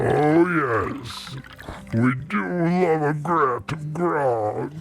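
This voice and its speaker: A man puts on a character voice, pitched fairly high, and speaks at a very slow pace. Music plays clearly in the background. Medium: audio drama. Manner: slow, terse, gruff.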